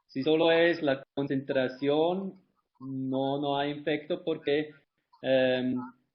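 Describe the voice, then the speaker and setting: Fairly even intonation from a man with a fairly high pitch. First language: not Spanish (speaking Spanish). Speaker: life cycle analysis expert. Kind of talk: webinar Q&A. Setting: online webinar. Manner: halting.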